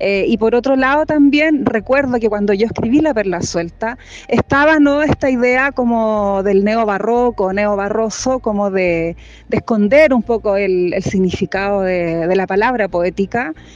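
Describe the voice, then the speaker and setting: Noticeable background noise surrounds a woman speaking with fairly high pitch and lively intonation. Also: fairly slow pace. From Chile. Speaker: poet. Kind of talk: interview.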